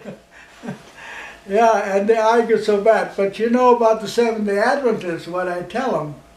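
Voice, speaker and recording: A man speaks at a high pitch. Noticeable background noise runs underneath. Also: fairly even intonation, moderate pace. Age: 80s+. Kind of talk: interview answer. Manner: rambling, hesitant.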